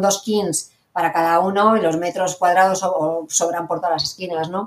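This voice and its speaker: Her pace fairly quick, a woman speaks at a fairly low pitch. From Basque Country, Irún. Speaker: hotel director. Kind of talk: interview. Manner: animated.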